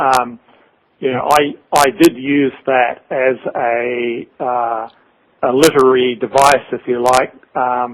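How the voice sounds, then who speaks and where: A man with a New Zealand accent talks at a very slow pace. His medium-pitched voice keeps a fairly even intonation. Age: 60s. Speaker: author. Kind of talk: interview. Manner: halting.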